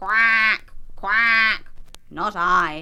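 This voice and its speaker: A put-on character voice pitched fairly high. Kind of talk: children's television storytelling. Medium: read story.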